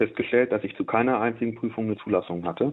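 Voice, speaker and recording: A man speaks at a medium pitch in a normal speaking voice, with ordinary pitch variation. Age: 20s. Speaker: former video game addict, physics graduate. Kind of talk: radio interview, personal testimony.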